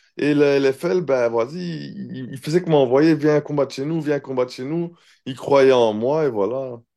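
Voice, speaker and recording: This man has a dark, mellow tone and a fairly high pitch. He speaks at a fairly slow pace with ordinary pitch variation. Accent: Brussels. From Belgium, Brussels (Neder-Over-Heembeek). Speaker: professional MMA fighter. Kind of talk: casual interview. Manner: hesitant, many fillers.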